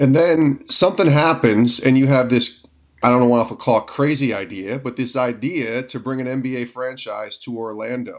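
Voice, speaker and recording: At a moderate pace, a man talks in an ordinary speaking voice, with medium pitch and ordinary pitch variation. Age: 40s. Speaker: podcast host. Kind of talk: interview.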